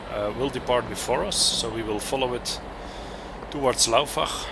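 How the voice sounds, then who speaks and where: Noticeable background noise sits under a man's voice. He talks at a fairly slow pace with a medium pitch. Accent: Flemish. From Belgium (Flanders). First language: Dutch. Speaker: train simulator content creator. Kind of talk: gameplay commentary. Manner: hesitant, many fillers.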